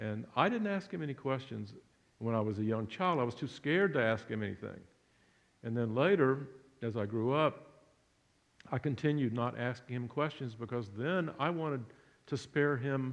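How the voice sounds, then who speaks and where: A man with an American accent speaks at medium pitch and a moderate pace, with ordinary pitch variation and long, frequent pauses. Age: 60s. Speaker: son of a Holocaust survivor, public speaker. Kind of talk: public talk. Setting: church hall with audience. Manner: halting.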